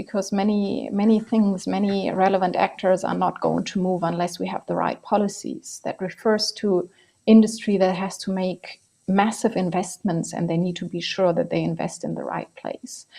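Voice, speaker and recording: Her tone dark and mellow, a woman speaks at a moderate pace and medium pitch with fairly even intonation. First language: not English. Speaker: energy policy expert. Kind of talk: panel discussion.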